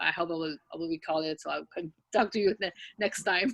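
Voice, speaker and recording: A fairly low-pitched woman's voice with ordinary pitch variation, dry and close with no echo. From France. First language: French. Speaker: event participant. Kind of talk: casual chat. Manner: halting.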